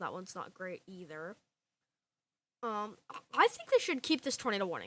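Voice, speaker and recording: A woman at a medium pitch speaks at a fairly quick pace with lively intonation and a bright, sharp, animated tone. The recording is very clean, with a silent background. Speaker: live weather stream host. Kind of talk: live severe weather commentary. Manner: fast.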